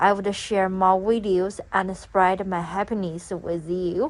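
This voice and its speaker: A woman with a non-native accent speaks at a medium pitch. Her pace is very slow. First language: not English. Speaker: gardening vlogger. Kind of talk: casual vlog narration. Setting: voice-over for a garden tour video. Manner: halting, many fillers.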